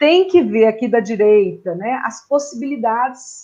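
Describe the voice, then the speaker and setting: At a fairly slow pace, a woman speaks in a fairly high pitch with a dark, mellow tone and lively intonation. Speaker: education consultant. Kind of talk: online presentation.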